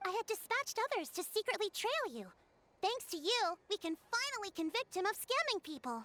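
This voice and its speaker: An extremely high-pitched put-on character voice delivered at a fairly quick pace. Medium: video game. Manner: calm, measured, authoritative.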